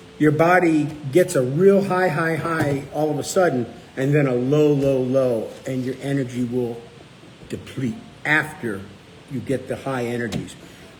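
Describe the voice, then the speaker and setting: Noticeable background noise and audible room echo surround the recording. A man speaks at a fairly slow pace with a fairly high pitch. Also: ordinary pitch variation. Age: 60s. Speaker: low-carb cookbook author and show host. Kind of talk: casual live chat answering viewer questions.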